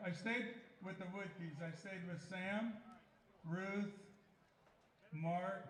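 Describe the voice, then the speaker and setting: A man with a high pitch speaks at a very slow pace. Long, frequent pauses break up his speech, and there is audible room echo. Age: 70s. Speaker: former summer league baseball player. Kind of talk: speech to crowd. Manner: halting.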